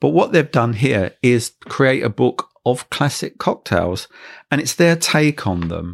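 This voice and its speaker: A fairly slow voice with vocal fry and very wide pitch swings, captured in a very clean recording against a silent background. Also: man, medium pitch for a man. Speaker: cocktail podcast host. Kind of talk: casual chat, podcast review.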